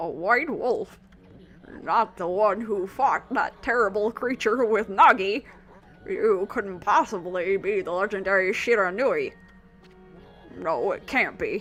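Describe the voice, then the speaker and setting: A woman speaks in a put-on character voice with a fairly high pitch, moving at a fairly slow pace with long, frequent pauses while faint music plays in the background. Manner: wise, surprised.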